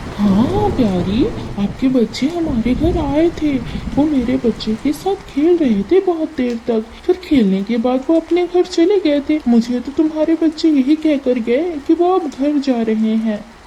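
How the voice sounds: A female-sounding cartoonish character voice speaks at a high pitch and a moderate pace. Background noise is clear.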